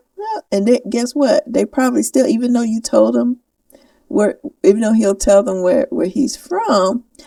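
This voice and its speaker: A woman's high voice with lively intonation at a moderate pace, dry and close with no echo. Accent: Southern US. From US South. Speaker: podcast co-host. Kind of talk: casual chat.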